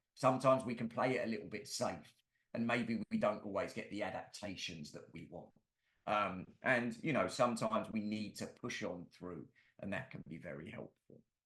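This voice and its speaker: In a London accent, a man talks at a moderate pace with a medium pitch, ordinary pitch variation and big swings in loudness. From London, England. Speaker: musculoskeletal therapist and presenter. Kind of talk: webinar lecture. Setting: online webinar.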